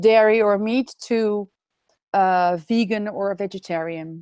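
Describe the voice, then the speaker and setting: A woman speaks with a Dutch accent in a dry, close sound with no echo. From Netherlands. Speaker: raw food expert. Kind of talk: webinar interview. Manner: halting.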